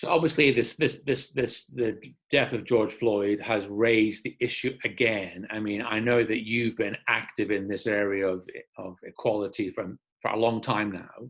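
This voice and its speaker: This man has an unremarkable speaking voice at a medium pitch, with ordinary pitch variation and a moderate pace. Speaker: church interviewer. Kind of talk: interview questions.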